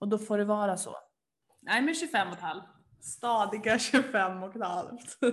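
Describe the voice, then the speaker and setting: A woman's fairly high, animated voice with lively intonation at a fairly slow pace. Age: 20s. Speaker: podcast co-host. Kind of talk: casual chat.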